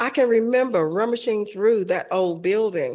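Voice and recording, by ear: The voice belongs to a woman with a slightly mellow tone. Her pitch variation is ordinary.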